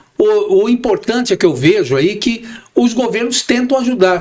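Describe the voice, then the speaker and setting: There is noticeable background noise behind this man's high-pitched voice. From Brazil, São Paulo. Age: 60s. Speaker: real estate broker and manager. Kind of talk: podcast interview.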